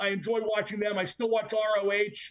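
This is a man's voice. His pitch is high. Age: 60s. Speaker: wrestling podcast co-host. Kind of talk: casual chat.

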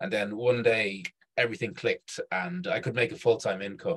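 With a Dublin accent, a man speaks at a medium pitch in a somewhat breathy voice. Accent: Irish (Dublin). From Ireland, Dublin. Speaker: startup event organizer. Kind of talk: casual chat. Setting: video call.

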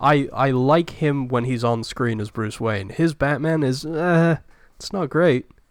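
This man talks at a fairly slow pace with a fairly high pitch and ordinary pitch variation. The recording is very clean, with a silent background. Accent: British. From Britain. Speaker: film podcast co-host. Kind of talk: casual chat.

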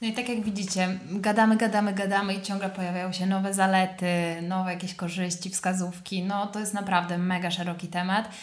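A woman at medium pitch talks at a very fast pace with hardly any pauses and monotone, flat intonation. There is noticeable background noise and audible room echo. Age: 20s. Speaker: yoga teacher. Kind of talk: casual chat.

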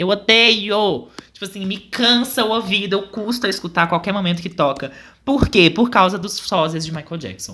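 A man uses a raised, projected voice at a high pitch with a bright, sharp tone. His pace is moderate and his pitch variation ordinary. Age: 20s. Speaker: podcast co-host. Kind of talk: casual chat.

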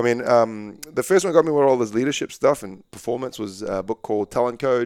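In a New Zealand accent, a man talks at a fairly quick pace with lively intonation, on a very clean recording with a silent background. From Malaysia (Kuala Lumpur) then New Zealand. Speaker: basketball coach. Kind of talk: casual interview chat.

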